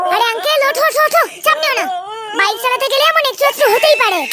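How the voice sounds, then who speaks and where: A cartoonish character voice talks at a fairly quick pace. Faint music plays in the background. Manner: brash, breezy, sprinkled with English words.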